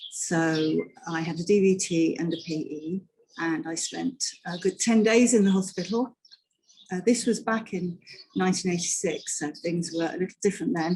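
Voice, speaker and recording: A woman with a British accent, somewhat breathy and dark and mellow in tone, at medium pitch with ordinary variation and a moderate pace. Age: 60s. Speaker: patient advocate. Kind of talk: testimony.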